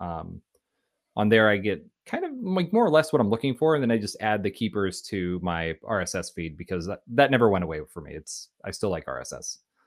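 An unremarkable speaking voice from a man with fairly low pitch moves at a fairly quick pace in a very clean recording with a silent background. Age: 30s. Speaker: engineering manager. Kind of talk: casual interview.

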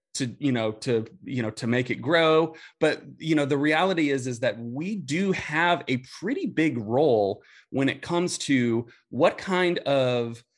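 In a quiet background, a man with an American accent speaks at a fairly slow pace and a fairly high pitch. He has an ordinary speaking voice with ordinary pitch variation. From Indianapolis, US Midwest. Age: 30s. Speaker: youth ministry specialist, former youth pastor. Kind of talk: casual interview chat.

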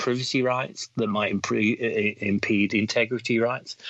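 With fairly even intonation, a man speaks at medium pitch. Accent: English. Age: 40s. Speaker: cybersecurity executive. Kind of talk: casual interview.

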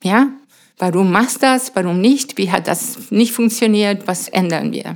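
At a fairly slow pace, a woman talks at medium pitch with a Spanish accent. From Venezuela, Mérida. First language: Spanish (speaking German). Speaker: astrophysicist and science educator. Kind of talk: interview. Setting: in her home.

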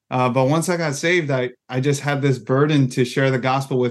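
This man talks at a moderate pace with a medium pitch. His intonation stays fairly even. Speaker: campus ministry regional director. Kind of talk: podcast interview. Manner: halting, repeats words.

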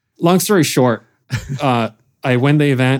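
A man speaks in a plain, everyday voice. His pace is moderate and his pitch variation ordinary. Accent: American. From Lithuania, moved to US as a child. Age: 30s. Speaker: professional drift racer and business owner. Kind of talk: casual interview. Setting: studio, video recorded.

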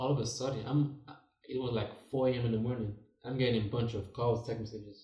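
A man talks at a very fast pace with a medium pitch and monotone, flat intonation. His voice is somewhat breathy, with a dark, mellow tone. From Nigeria. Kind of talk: casual chat.

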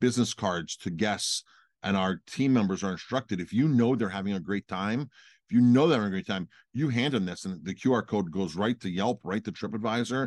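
Over a quiet background, an unremarkable speaking voice goes at a fairly quick pace with ordinary pitch variation. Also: man, fairly low pitch for a man. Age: 40s. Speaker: restaurant owner and podcast co-host. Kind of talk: casual chat.

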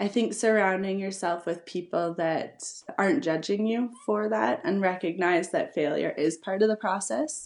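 Over a quiet background, a woman in a normal speaking voice talks at a moderate pace and a medium pitch. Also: lively intonation. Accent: Canadian. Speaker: entrepreneur and event founder. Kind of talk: casual interview chat.

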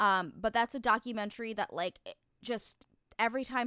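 In a very clean recording with a silent background, a woman with an American accent speaks in a bright, sharp tone with fairly even intonation. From New Jersey. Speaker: podcast co-host. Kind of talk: casual chat.

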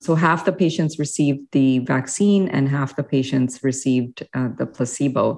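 With hardly any pauses, a woman speaks at a moderate pace in a very deep, low pitch with ordinary pitch variation. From India, then Canada (Manitoba/Ottawa) from age nine. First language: Hindi or other Indian language. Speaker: physician researcher. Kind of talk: interview.

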